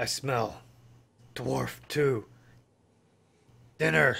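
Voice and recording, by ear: Using a raspy, put-on character voice, a man speaks at a medium pitch with very wide pitch swings.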